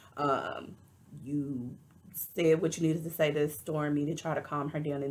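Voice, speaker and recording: Speaking in a Texas accent, a woman uses a very deep, low pitch and monotone, flat intonation. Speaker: reality TV reviewer. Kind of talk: casual commentary.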